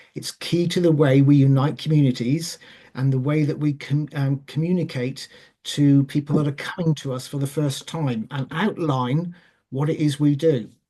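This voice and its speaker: A Welsh accent at a moderate pace. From Wales. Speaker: charity chair. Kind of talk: panel talk. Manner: hesitant.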